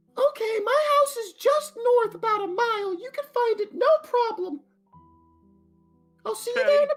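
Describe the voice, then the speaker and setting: With faint music in the background, a man does a squeaky, put-on character voice at an extremely high pitch, keeping a moderate pace with long, frequent pauses. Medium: actual play. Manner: gushing, exclamatory.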